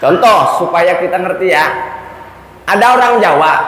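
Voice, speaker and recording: A man with a Sundanese accent in an animated tone, with audible room echo and noticeable background noise. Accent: Sundanese-accented Indonesian. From Sunda region, West Java, Indonesia. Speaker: Islamic preacher. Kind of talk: sermon. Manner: humorous storytelling, animated.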